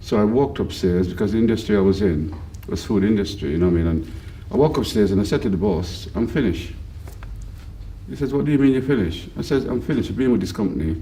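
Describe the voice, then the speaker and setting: With audible room echo, a man with a fairly low pitch speaks very fast with lively intonation. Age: 60s. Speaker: football club volunteer groundsman and team manager. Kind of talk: interview.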